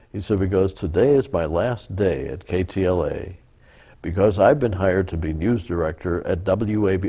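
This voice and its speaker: A man speaks at a moderate pace with a very deep, low pitch and a dark, mellow, somewhat breathy tone, using ordinary pitch variation. The recording is very clean, with a silent background. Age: 70s. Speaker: former TV weatherman. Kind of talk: interview answer, storytelling.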